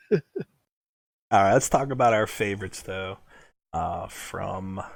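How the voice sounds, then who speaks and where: On a very clean recording with a silent background, a man speaks in a fairly low pitch with ordinary pitch variation. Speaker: horror podcast co-host. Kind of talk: casual chat.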